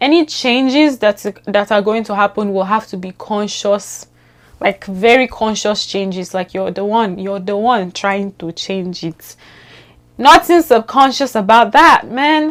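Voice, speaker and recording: A woman with a Nigerian accent, fairly high in pitch, lively in intonation and animated in tone, at a fairly slow pace with big swings in loudness. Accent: Nigerian, unchanged. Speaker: vlogger. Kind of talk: casual vlog monologue.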